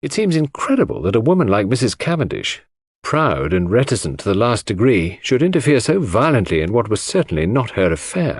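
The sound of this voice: A man puts on a character voice with big pitch swings and a slightly husky edge, his pitch fairly low. He talks at a fairly quick pace on a very clean recording with a silent background.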